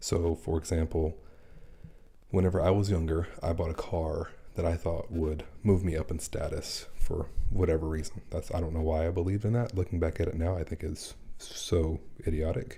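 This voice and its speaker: Quiet and somewhat breathy, a man speaks at a moderate pace with a very deep, low pitch, a dark, mellow tone and fairly even intonation. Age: 40s. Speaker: personal finance creator. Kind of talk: casual live stream chat. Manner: speaking quietly.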